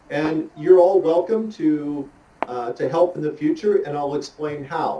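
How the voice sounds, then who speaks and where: Over noticeable background noise, a man with an American accent talks at a moderate pace, his fairly high voice carrying lively intonation. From US. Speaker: motorcycle riding instructor. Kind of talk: online talk. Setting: video call. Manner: animated.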